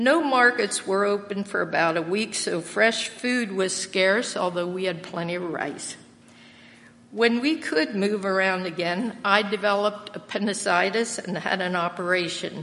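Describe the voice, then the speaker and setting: A plain, everyday voice, a woman with an American accent speaks at a medium pitch and moderate pace with ordinary pitch variation. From Lancaster County, Pennsylvania. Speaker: church member sharing testimony, retired English teacher. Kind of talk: testimony. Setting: church.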